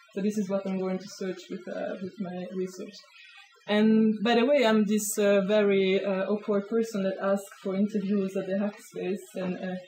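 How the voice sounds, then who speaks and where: Over noticeable background noise, a woman with a Swiss accent talks at a moderate pace in a monotone, flat intonation. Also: medium pitch for a woman. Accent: Swiss, non-native English. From Switzerland. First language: not English. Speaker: sociology of science researcher. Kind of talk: talk to a small audience. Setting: hackspace talk with live audience.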